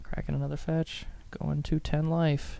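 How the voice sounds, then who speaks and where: The voice is quiet. It moves at a moderate pace. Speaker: tournament commentator. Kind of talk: live commentary. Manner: quieter, toned down after complaint.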